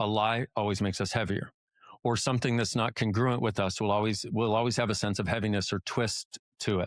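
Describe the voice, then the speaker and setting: A man speaks at a fairly low pitch, his loudness very even. The recording is very clean, with a silent background and a dry, close sound with no echo. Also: fairly quick pace. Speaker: personal development teacher. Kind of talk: podcast interview. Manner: fast; animated.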